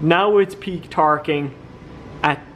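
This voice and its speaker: A man's fairly high voice in an Irish accent, with fairly even intonation and light background noise. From Ireland. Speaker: car vlogger, drift driver; car vlogger. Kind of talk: casual vlog narration. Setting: dyno room at tuning workshop. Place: workshop. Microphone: phone near.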